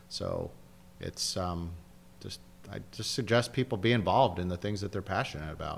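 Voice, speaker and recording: A man with an American accent speaks at a fairly low pitch with ordinary pitch variation. His moderate pace is broken by long, frequent pauses. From San Diego, California. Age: 50s. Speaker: real estate developer. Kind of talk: interview.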